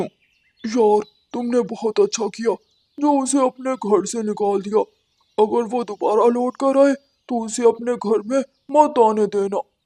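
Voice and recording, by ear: This is a cartoonish character voice with a fairly high pitch. It moves at a fairly slow pace.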